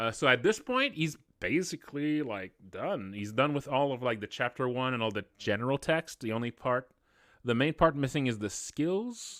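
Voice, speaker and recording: A speaker with a non-native accent talks at a moderate pace. The sound is dry with no echo, and the background is quiet. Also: man. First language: not English. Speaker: indie game developer and streamer; streamer. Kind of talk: live stream development update. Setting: live stream. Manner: casual with many fillers and restarts. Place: home room.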